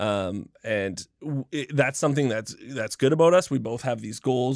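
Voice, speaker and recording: A man in a plain, everyday voice, medium pitch and ordinary pitch variation, moderate pace with hardly any pauses, on a very clean recording with a silent background. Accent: Canadian. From Canada. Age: 30s. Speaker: professional video game streamer. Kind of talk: casual chat.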